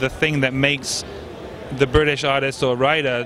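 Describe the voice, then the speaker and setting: A man speaks at a moderate pace in a fairly high pitch. Noticeable background noise can be heard. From southern England. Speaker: interviewer. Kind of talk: interview.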